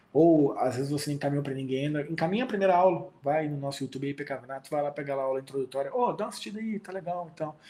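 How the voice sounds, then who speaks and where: Amid noticeable background noise, a fairly high-pitched man speaks at a very fast pace with hardly any pauses and ordinary pitch variation. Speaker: pastor. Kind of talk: online Bible class. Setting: video call. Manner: animated.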